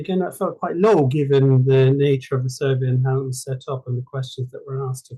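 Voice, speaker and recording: In an Irish accent, a man talks at a fairly quick pace. His medium-pitched voice has a dark, mellow tone and fairly even intonation. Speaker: journal club presenter. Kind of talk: paper presentation in online discussion group. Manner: halting, with many fillers and repetitions.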